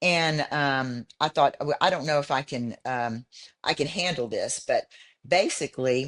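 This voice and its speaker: A woman with a Texan accent speaks at a very deep, low pitch with ordinary pitch variation. Her fairly slow delivery sounds dry and close, with no echo. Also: quiet background. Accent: Texan American. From Houston, Texas. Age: 70s. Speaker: bodybuilder. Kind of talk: interview. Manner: halting.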